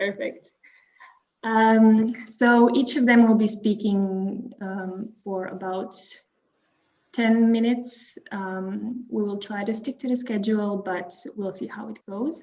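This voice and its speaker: Speaking very slowly with a Croatian accent, a woman has a fairly high pitch, fairly even intonation and big swings in loudness. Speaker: webinar moderator. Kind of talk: webinar introduction.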